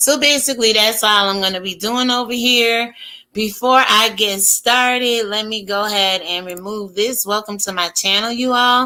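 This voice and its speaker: A woman with a bright, sharp tone, fairly high pitch and fairly even intonation, on a very clean recording with a silent background. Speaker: YouTube commentary host. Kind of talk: casual commentary monologue. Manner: slow.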